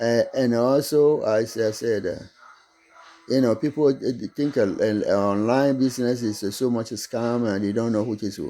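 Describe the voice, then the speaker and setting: A man with a medium pitch and a dark, mellow tone, at a moderate pace with fairly even intonation. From Togo, West Africa. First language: not English (French schooling). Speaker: online business vlogger. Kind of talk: casual monologue to camera. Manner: halting, repetitive.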